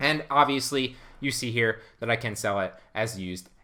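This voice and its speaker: The man's voice has a bright, sharp tone. The background is quiet. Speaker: online reseller and YouTube educator; online reseller, YouTube educator. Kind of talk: tutorial. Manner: fast; animated. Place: home room.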